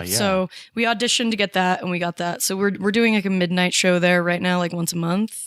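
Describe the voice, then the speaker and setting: A woman with an American accent and a plain, everyday voice speaks fairly quickly at a medium pitch, her intonation fairly even. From Salt Lake City, Utah. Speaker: comedian. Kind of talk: interview answer. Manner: casual, chatty.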